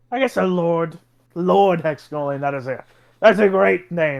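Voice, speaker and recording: A man's put-on character voice, high in pitch, with lively intonation and a moderate pace. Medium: actual play. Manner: formal, smug.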